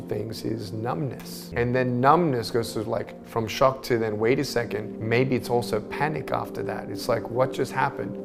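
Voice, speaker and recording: There is music in the background while a man talks. He keeps a moderate pace and a medium pitch, and his pitch varies in an ordinary way. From Australia. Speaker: motivational speaker. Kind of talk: motivational speech.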